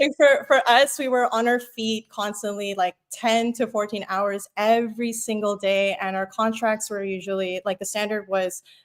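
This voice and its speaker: With an unremarkable speaking voice, a woman talks at a moderate pace and medium pitch, her pitch varying in an ordinary way, in a very clean recording with a silent background. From Philippines, moved to Canada at five. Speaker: web developer. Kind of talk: casual interview chat.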